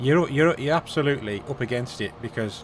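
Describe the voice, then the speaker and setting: At a moderate pace, a man speaks with ordinary pitch variation. There is noticeable background noise. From England. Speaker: gaming live streamer. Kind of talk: casual chat.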